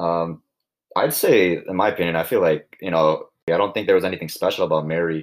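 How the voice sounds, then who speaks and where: The recording is very clean, and the background is silent. A man speaks fairly quickly. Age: young. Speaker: student interviewer. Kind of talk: interview.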